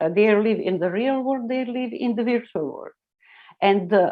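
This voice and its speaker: A woman with a non-native accent speaks at a moderate pace and a fairly high pitch, her pitch swinging very widely. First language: not English. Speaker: internet pioneer. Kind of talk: interview. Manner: halting.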